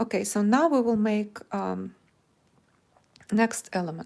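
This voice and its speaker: With a Russian accent, a woman speaks with long, frequent pauses. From Ukraine. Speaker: crochet teacher. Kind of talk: live stream chat; tutorial. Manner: halting.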